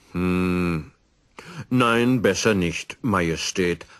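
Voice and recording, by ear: Using a put-on character voice, a man speaks very slowly at a low pitch with a fairly bright tone and ordinary pitch variation.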